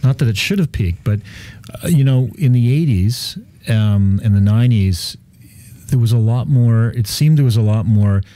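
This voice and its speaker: A man with a Canadian accent talks at a moderate pace with ordinary pitch variation. His loudness stays very even in a dry sound with no echo. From Canada. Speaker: real estate developer. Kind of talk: casual chat. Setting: radio studio. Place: studio. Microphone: studio mic.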